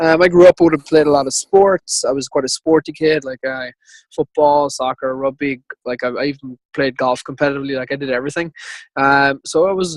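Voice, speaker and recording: A man with an Irish accent talks at a fairly quick pace in a fairly high pitch. His intonation is fairly even, and the sound is dry and close with no echo. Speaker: ultrarunner. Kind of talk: interview.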